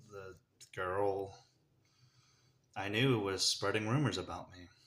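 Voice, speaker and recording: A man with an American accent speaks at a fairly low pitch and a fairly slow pace, his intonation fairly even, with audible room echo around him. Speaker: vlogger sharing personal story. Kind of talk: personal testimony. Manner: halting, holding back tears.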